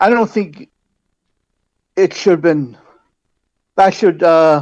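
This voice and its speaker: Loud and high in pitch, a man's voice fills the clip. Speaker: public delegate at council meeting. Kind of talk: public delegation speech. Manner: halting.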